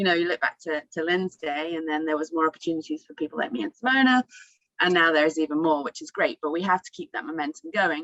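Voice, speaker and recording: Speaking very fast with an English accent, a woman uses a fairly low pitch and ordinary pitch variation, in a dry, close sound with no echo. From England. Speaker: former racing driver. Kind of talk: panel discussion.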